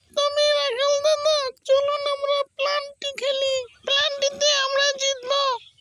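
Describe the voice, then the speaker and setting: Pitched extremely high, a cartoonish character voice moves at a fairly slow pace with monotone, flat intonation. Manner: boastful.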